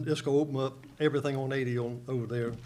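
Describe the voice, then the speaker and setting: Audible room echo surrounds a man with an American accent who speaks with fairly even intonation. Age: 70s. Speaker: local resident speaking at public hearing. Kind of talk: public comment at county board meeting. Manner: halting.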